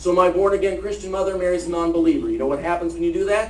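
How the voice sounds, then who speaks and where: A man with an American accent at a very fast pace, ordinary pitch variation, audible room echo and noticeable background noise. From Ohio. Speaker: lobbyist and ministry speaker. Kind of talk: testimony; talk to an audience.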